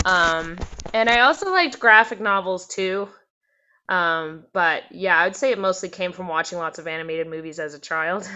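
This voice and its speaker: The speaker has a Canadian accent and an ordinary speaking voice. The pace is moderate, with ordinary pitch variation. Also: woman, medium pitch for a woman. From Canada, British Columbia (North Vancouver, Squamish, Port Hardy). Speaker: singer and musician. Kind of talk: casual interview. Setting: video call. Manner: casual, filler-heavy with frequent likes and ums.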